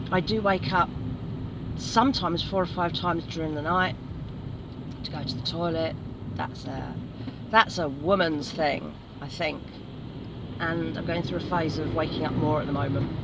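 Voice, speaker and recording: Dry with no echo, the speech moves at a moderate pace with ordinary pitch variation, long, frequent pauses, and noticeable background noise. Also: woman. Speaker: hiking vlogger. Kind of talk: casual vlog chat. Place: car. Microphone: phone near.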